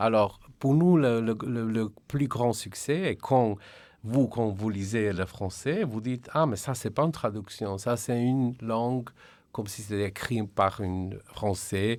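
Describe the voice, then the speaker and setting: With a Slovenian accent, a man of medium pitch talks at a very slow pace with ordinary pitch variation, on a very clean recording with a silent background. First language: Slovenian (speaking French). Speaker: translation director. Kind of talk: radio interview. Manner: halting.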